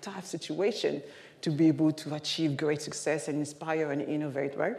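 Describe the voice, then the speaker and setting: A woman in a French accent talks at a fairly quick pace with audible room echo. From Paris, France. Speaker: keynote speaker. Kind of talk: keynote talk. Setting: stage with audience. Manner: animated.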